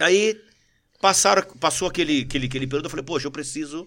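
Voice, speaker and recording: A man talks. The background is silent and the recording very clean. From Brazil, São Paulo region (Mauá), born in Rio. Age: 40s. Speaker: retired military police sergeant and politician. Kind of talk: casual interview chat. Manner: animated.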